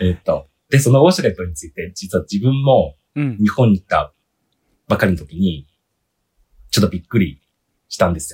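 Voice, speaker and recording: A man with a Chinese accent talks at a fairly quick pace in a fairly low, somewhat breathy voice, with long, frequent pauses. His pitch swings very widely and his loudness shifts a lot. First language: Chinese (speaking Japanese). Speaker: podcast guest, listener. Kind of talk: casual chat. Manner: earnest, serious.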